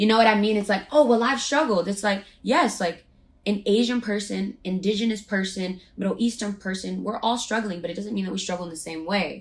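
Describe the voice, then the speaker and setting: Noticeable background noise behind a woman speaking at a fairly quick pace. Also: medium pitch for a woman, ordinary pitch variation. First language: Spanish. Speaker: podcast co-host. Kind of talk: casual chat.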